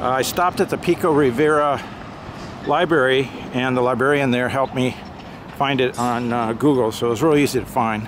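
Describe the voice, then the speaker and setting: The speaker keeps a moderate pace while noticeable background noise runs underneath. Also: man. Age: 60s. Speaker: amateur history vlogger. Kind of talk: casual vlog narration. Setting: outdoors by a busy road. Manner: hesitant, many filler words.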